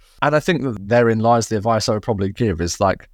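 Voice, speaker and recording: A man with a southern English accent at a fairly quick pace. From England. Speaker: tech company CEO. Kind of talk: interview conversation.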